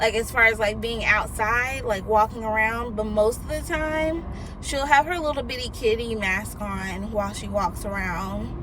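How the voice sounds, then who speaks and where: The speech moves at a moderate pace with hardly any pauses, amid noticeable background noise and audible room echo. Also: woman. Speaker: vlogger. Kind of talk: casual chat. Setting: in a car. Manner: loud.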